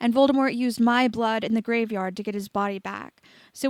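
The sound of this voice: Simply an unforced reading voice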